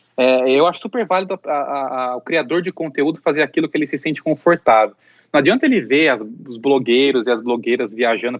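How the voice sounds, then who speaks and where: The speaker uses a normal speaking voice at a fairly quick pace. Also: man. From Campinas region, São Paulo interior, Brazil. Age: 30s. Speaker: pet influencer and content creator. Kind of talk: interview conversation.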